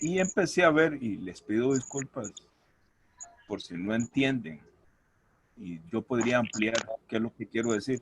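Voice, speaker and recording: The speech has lively intonation, broken up by long, frequent pauses. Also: man, medium pitch for a man. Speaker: church deacon. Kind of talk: testimony. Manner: halting, repetitive.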